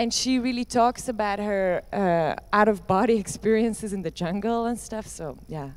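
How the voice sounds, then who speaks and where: The speaker has a Dutch accent and an ordinary amount of pitch variation. The pace is moderate, with hardly any pauses. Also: woman, medium pitch for a woman. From Netherlands or Flanders. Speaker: performance artist. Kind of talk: Q&A discussion. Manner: halting.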